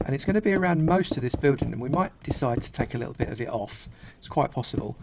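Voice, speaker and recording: Amid noticeable background noise, a man talks at a very fast pace with big swings in loudness. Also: fairly high pitch for a man, lively intonation. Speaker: gaming youtuber. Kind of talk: tutorial. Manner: quiet, low energy.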